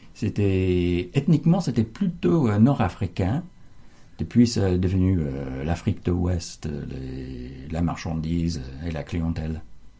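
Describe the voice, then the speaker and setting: Very deep and low in pitch, a man with an English accent speaks at a very slow pace with lively intonation. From United States. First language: English (speaking French). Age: 70s. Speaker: translator, local resident. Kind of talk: interview. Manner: halting, many hesitations.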